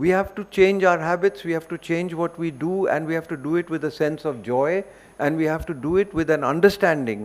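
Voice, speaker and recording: In an Indian accent, a man speaks at a high pitch and a moderate pace. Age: 70s. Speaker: environmental educator. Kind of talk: seminar talk.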